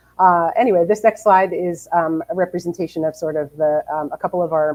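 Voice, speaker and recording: In a New Jersey accent, a woman speaks fairly quickly with a fairly low pitch, a dark, mellow tone and fairly even intonation, in a dry, close sound with no echo. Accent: New Jersey American. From New Jersey, US. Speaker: publishing editor. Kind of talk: webinar presentation. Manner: fast.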